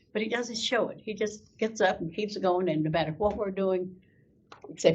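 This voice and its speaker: At a medium pitch, a woman talks with a somewhat breathy voice. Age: 90s. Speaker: Gold Star mother and veterans volunteer. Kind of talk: interview storytelling. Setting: school podcast interview. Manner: animated.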